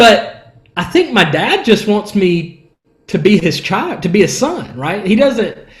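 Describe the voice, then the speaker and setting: A man talks with lively intonation. Room echo is audible. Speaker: worship leader. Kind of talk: podcast interview. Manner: casual, conversational.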